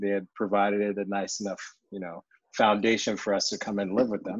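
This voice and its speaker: A man speaks with a fairly low pitch. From Nigeria (Ibadan), moved to Delaware at 10. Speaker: anesthesia provider, new dad. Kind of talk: casual chat. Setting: remote call.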